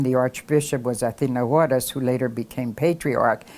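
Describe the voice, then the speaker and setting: Speaking at a moderate pace in an American accent, a woman with a very deep, low pitch and a dark, mellow tone keeps her intonation fairly even. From Philadelphia, US. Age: 80s+. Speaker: community elder interviewee. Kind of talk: oral history interview.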